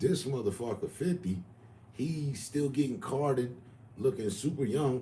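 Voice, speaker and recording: A dark, mellow, somewhat breathy voice in a room with audible echo. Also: man. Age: 50s. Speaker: livestreamer. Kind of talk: casual chat.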